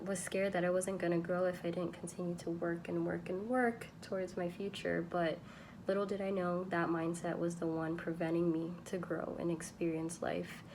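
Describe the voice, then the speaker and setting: A woman talks at a moderate pace and a fairly low pitch. Her intonation is flat and monotone, and her loudness stays very even. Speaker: podcaster. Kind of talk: podcast monologue.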